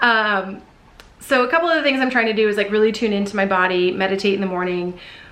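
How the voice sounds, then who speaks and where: A woman with a medium pitch races along at a very fast pace, using ordinary pitch variation. Audible room echo and noticeable background noise fill the recording. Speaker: vlogger. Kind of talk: casual vlog talk to camera.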